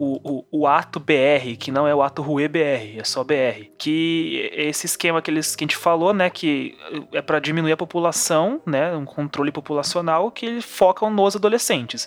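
A man with a fairly high pitch speaks at a moderate speed with ordinary pitch variation, and background noise is clearly audible. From São Paulo, Brazil. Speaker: podcast co-host. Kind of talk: casual chat.

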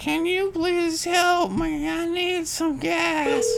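A man uses a put-on character voice at an extremely high pitch. His pace is very slow.

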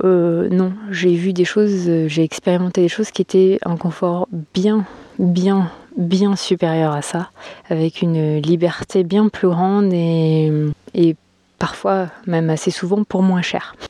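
A woman speaks very slowly in a dark, mellow tone, her fairly low pitch delivered with monotone, flat intonation. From France. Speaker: podcaster. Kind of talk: casual monologue. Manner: halting.

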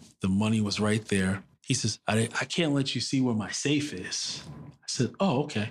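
With a New York accent, a man speaks at a medium pitch and a moderate pace. His pitch varies in an ordinary way. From New York City. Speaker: business commentator and adjunct professor. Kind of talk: interview storytelling.

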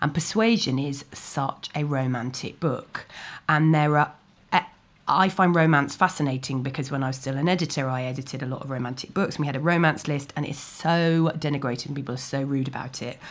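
Heard in a very clean recording with a silent background, a woman with a very deep, low pitch talks at a fairly quick pace in a southern English accent. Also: ordinary pitch variation. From London (Chiswick). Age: 40s. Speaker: novelist. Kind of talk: interview. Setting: library.

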